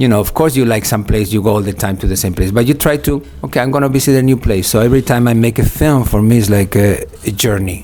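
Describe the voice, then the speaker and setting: Over noticeable background noise, a man at a medium pitch talks very fast with ordinary pitch variation. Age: 60s. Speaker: film director. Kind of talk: interview. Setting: film festival.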